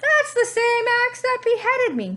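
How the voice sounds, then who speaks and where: In a put-on character voice, a woman reaches an extremely high pitch while keeping a moderate pace. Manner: screaming, outraged.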